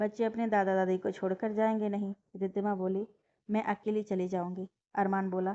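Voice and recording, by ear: The text is read out loud in a natural voice. Quiet surrounds it.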